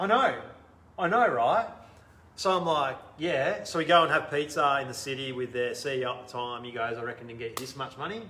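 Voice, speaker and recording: Audible room echo surrounds a man who speaks at a fairly quick pace in a bright, sharp tone. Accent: Australian. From Australia. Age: 40s. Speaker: entrepreneur. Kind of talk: interview. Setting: live video stream. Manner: animated.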